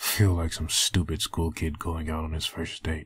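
In a very deep, low voice, a man speaks at a moderate pace with monotone, flat intonation. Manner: menacing, threatening; brooding, bitter inner monologue.

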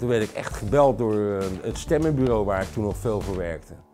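There is faint music in the background as a man speaks. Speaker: voice actor. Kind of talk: interview answer. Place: studio.

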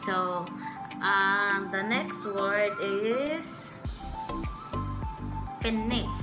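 Clear music plays behind a woman speaking at a very slow pace. She leaves long, frequent pauses. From Philippines. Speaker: vlogger. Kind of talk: casual talk to camera. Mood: playful, amused. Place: home room. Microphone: studio mic.

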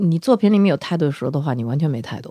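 A woman's voice with very wide pitch swings, in a dry, close sound with no echo and a very clean recording with a silent background. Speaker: band lead singer. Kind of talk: casual interview chat.

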